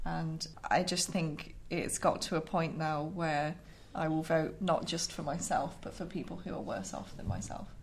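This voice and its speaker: Vocal fry runs through the voice at a moderate pace, with ordinary pitch variation and audible echo from the room. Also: woman, fairly low pitch for a woman. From Lincolnshire, England. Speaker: politics undergraduate student. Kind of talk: casual panel discussion. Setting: studio.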